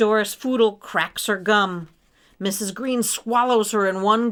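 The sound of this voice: This is an unforced reading voice. The words come out in an unforced reading voice.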